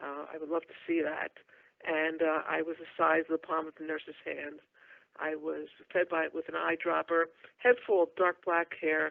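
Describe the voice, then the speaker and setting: A woman's very deep, low voice with an American accent, monotone, flat intonation, and big swings in loudness. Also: moderate pace. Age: 60s. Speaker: shamanic healer and channeler. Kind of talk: interview life story.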